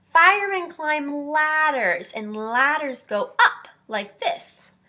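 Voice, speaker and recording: A woman speaks very slowly in a put-on character voice that is squeaky and high, with very wide pitch swings. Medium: read story. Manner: gentle, patient.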